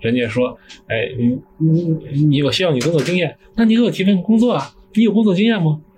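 A man with a high pitch talks at a fairly quick pace, his voice making very wide pitch swings. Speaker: recent graduate. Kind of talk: casual chat.

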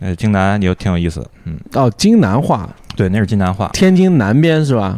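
Speaking at a moderate pace, a man with a fairly low pitch has a dark, mellow tone and lively intonation. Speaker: brewer. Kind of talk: casual chat.

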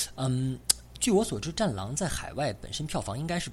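This man's voice makes very wide pitch swings at a fairly quick pace. There is noticeable background noise. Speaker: podcast host. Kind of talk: casual chat.

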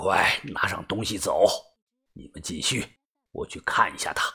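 A put-on character voice whispers at a moderate pace. It has a husky, rough edge.

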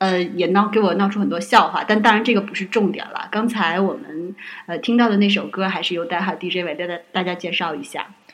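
A woman speaks at medium pitch and a fairly quick pace, with hardly any pauses. Her intonation stays fairly even over noticeable background noise. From Northeast China. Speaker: podcast guest, host's friend. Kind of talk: casual chat. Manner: hesitant, many fillers.

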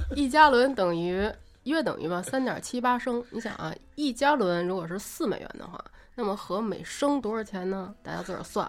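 A woman speaks at a fairly high pitch and moderate pace, her intonation lively and her loudness swinging widely. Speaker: guest on a podcast, longtime friend of host. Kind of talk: casual chat. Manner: soft-spoken.

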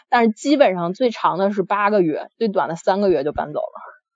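A woman speaks at a moderate pace in a medium-pitched voice. Her intonation is lively. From Beijing. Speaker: listener caller. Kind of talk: storytelling. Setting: live-stream voice call. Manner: halting, many fillers.

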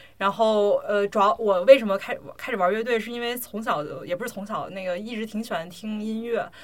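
A woman's unremarkable speaking voice, fairly high in pitch with ordinary variation, at a fairly quick pace with big swings in loudness. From China. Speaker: podcast host, amateur drummer. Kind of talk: casual chat. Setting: home recording.

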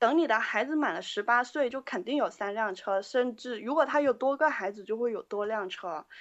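A woman with a high voice talks at a moderate pace, with hardly any pauses. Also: ordinary pitch variation. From Guangzhou, China. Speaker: band member, keyboardist. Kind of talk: interview. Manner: halting.

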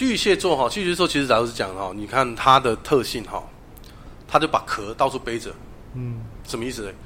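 With a Taiwanese accent, a man speaks at a fairly quick pace in a medium-pitched, bright, sharp voice with lively intonation. His loudness swings widely, and long, frequent pauses break up his speech. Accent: Taiwanese Mandarin. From Taiwan, Taichung. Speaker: tarot reader. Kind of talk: interview.

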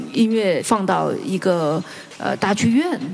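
A woman's pitch swings very widely. Noticeable background noise can be heard. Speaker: guqin musician. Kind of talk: panel discussion. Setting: stage with audience.

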